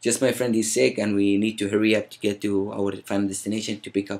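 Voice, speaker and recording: A man speaks at a very fast pace with hardly any pauses, in a fairly low pitch and an Arabic accent. His loudness swings widely while his intonation stays fairly even. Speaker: vlogger. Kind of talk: storytelling. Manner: casual.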